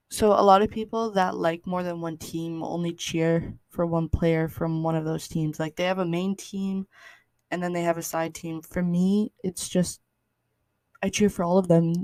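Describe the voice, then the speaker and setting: A woman with a western Canadian accent speaks at a moderate pace in a fairly low, dark, mellow voice. Her intonation is monotone and flat, and the recording is very clean with a silent background. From Canada, British Columbia. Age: 20s. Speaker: podcast host. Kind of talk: casual monologue. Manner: halting.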